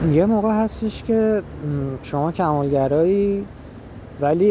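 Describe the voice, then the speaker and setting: A man is speaking here. His intonation is lively. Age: 20s. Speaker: podcaster. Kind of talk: personal monologue. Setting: outdoors on a street. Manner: halting. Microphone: muffled through face mask.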